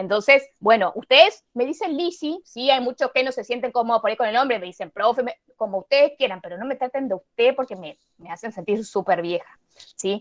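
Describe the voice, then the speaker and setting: A woman talks at a fairly quick pace with a high pitch and lively intonation. Her loudness swings widely from moment to moment. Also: dry, close sound with no echo. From Misiones, Argentina. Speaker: university biology teacher. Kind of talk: online class. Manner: fast.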